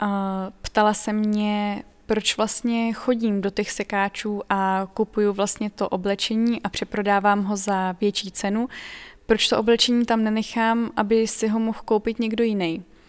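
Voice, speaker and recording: A woman's fairly high-pitched voice, monotone and flat in intonation, at a fairly slow pace. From Czech Republic, Pardubice region. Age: 20s. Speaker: second-hand clothing e-shop owner. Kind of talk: documentary interview.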